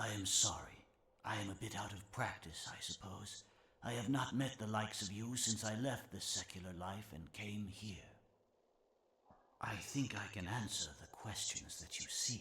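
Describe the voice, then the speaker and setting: Using a put-on character voice, a man speaks in a fairly low pitch at a moderate pace with ordinary pitch variation. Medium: video game. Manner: slow, measured, gentle.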